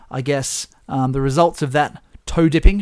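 An unremarkable speaking voice from a man, fairly high in pitch, at a moderate pace on a very clean recording with a silent background. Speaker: podcast host. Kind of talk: casual banter over drinks. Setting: indoors in chairs, with whiskey.

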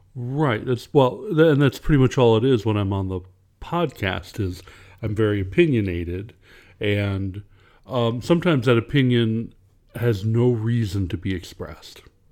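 Recorded very cleanly over a silent background, a man has an unremarkable speaking voice at a medium pitch. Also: moderate pace. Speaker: podcast co-host, author. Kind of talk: casual conversation between two co-hosts.

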